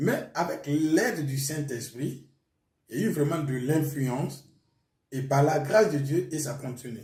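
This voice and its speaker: A man speaks with a Burkinabè accent in a fairly high, somewhat breathy voice. Audible room echo can be heard. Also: ordinary pitch variation, fairly slow pace. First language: Mooré (speaking French). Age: young. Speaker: pastor. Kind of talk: testimony.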